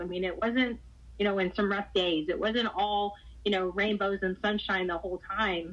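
A woman with a Texan accent speaks at a moderate pace and medium pitch, her intonation fairly even. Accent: Texan American. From Texas, Houston. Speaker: high school softball coach. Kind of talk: interview.

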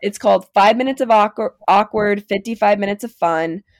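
A woman speaks in an ordinary speaking voice with a fairly high pitch and ordinary pitch variation. Her pace is moderate, and the sound is dry and close with no echo. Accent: American. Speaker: college student sharing mental health story. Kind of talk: personal testimony in casual interview.

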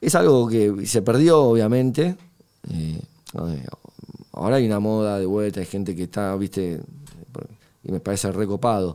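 Fairly low in pitch, a man speaks at a moderate pace with lively intonation. He leaves long, frequent pauses. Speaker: guitarist. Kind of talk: interview. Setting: studio. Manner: hesitant, many fillers.

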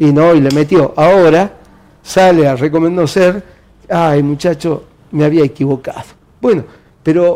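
A man with a fairly high pitch and a dark, mellow tone speaks fairly slowly with fairly even intonation and very even loudness, leaving long, frequent pauses. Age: 60s. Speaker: party official and university administrator. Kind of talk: interview.

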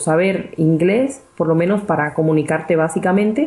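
A woman's dark, mellow tone, with ordinary pitch variation at a fairly slow pace. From Cuba. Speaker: physicist and real estate investor. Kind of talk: interview.

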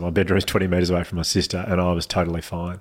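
With an Australian accent, a man speaks at a very deep, low pitch. The recording is very clean, with a silent background. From Australia, Melbourne. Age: 30s. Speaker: mental health speaker. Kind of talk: casual chat.

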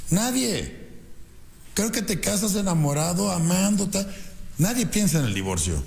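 Long, frequent pauses break up a man's high voice as he talks at a fairly slow pace with ordinary pitch variation and audible room echo. His tone is animated. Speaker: radio host and business coach. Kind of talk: motivational radio talk. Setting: radio studio.

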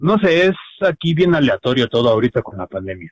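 This is a man speaking. He has a Mexican accent. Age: 30s. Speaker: illustrator and webcomic artist. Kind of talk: casual chat.

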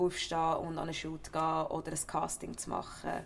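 The speaker has a Central Swiss accent. The pace is moderate. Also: woman. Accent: Nidwalden Swiss German dialect. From Switzerland, Nidwalden. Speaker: actor, former footballer. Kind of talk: interview.

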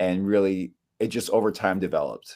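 A man with an American accent speaks at a moderate pace in an ordinary speaking voice, fairly low in pitch, with fairly even intonation on a very clean recording with a silent background. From US, northern California (Bay Area). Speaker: musician. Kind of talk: casual chat.

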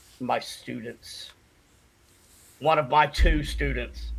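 A man speaks with an Appalachian accent. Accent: Southern US (Appalachian). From US South, western North Carolina. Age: 40s. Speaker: shaman and paranormal investigator, Marine veteran. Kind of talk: casual chat. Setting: video call.

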